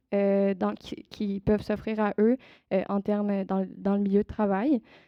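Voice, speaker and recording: A woman speaking at a moderate pace. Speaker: youth project presenter. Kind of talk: public presentation. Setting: event with live audience. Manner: hesitant.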